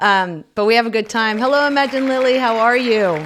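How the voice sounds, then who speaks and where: A woman with an animated tone and ordinary pitch variation, at a moderate pace, in a very clean recording with a silent background. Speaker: live stream host. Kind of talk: live stream chat. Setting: live stream.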